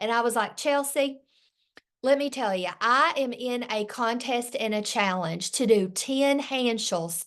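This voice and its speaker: A woman with a high voice speaks fairly slowly in a Southern US accent. Her intonation is lively, and the background is quiet. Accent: Southern US country. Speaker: direct sales director. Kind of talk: sales training talk. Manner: animated.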